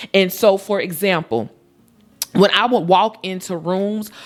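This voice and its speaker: A woman's animated voice, fairly low in pitch. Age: 40s. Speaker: lifestyle vlogger. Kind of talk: casual monologue to camera. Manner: loud, outgoing.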